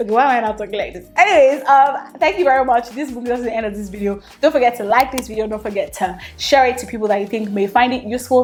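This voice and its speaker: Delivered at a very fast pace, the speech has an animated tone and ordinary pitch variation over noticeable background noise. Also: woman. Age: 20s. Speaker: lifestyle vlogger. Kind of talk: vlog talk to camera.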